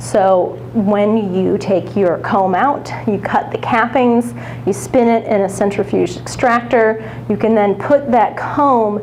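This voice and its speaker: Fairly slow speech with noticeable background noise and audible room echo. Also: woman. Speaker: professional beekeeper. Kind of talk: lecture. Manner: loud.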